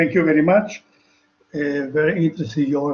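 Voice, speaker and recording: With a non-native accent, a man speaks in a somewhat breathy voice with ordinary pitch variation. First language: not English. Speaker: webinar attendee asking a question. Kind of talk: audience question. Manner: halting.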